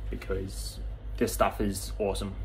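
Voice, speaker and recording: A man speaks over light background noise. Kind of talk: casual vlog chat. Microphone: phone near.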